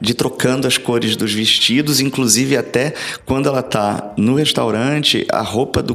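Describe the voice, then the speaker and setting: The speaker has a Rio de Janeiro accent and fairly even intonation, at a moderate pace. Noticeable background noise runs underneath. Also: man. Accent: carioca. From Brazil, Rio de Janeiro. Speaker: history professor. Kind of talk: interview.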